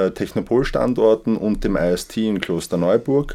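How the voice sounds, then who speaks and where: A man speaks at a fairly low pitch with a dark, mellow tone and ordinary pitch variation. His pace is fairly slow, on a very clean recording with a silent background. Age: 40s. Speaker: managing director. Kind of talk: interview.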